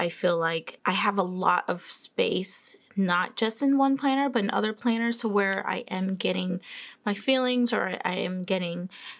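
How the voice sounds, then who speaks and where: On a very clean recording with a silent background, a woman with a plain, everyday voice talks at a medium pitch and a moderate pace with ordinary pitch variation. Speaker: planner and journaling youtuber. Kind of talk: casual show-and-tell vlog.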